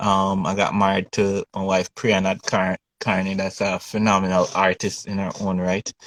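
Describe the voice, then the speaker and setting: A man's fairly low voice in a Jamaican accent, flat and monotone, at a moderate pace with hardly any pauses, dry and close with no echo. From Jamaica, Kingston. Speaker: painter. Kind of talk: interview. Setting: video call.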